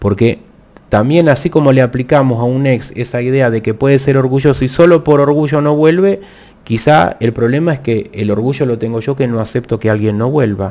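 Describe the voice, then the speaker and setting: A man speaks at medium pitch and a fairly quick pace in a plain, everyday voice with ordinary pitch variation. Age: 50s. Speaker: tarot reader. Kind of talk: live stream tarot talk. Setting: live video stream. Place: home room. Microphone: studio mic.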